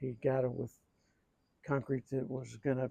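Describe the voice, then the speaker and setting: At a moderate pace, a man with a dark, mellow tone and medium pitch speaks in a monotone, flat intonation, the sound dry and close with no echo. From US Midwest, Akron, Ohio. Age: 70s. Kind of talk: casual chat. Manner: halting.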